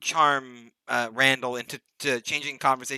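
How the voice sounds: Here is a natural reading voice with fairly even intonation over a quiet background.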